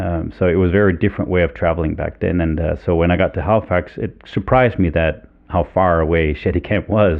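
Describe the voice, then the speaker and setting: A man's very deep, low voice at a very fast pace with fairly even intonation. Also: hardly any pauses. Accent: Danish. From Denmark. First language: Danish. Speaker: fly fishing guide. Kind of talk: interview. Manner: halting, many fillers.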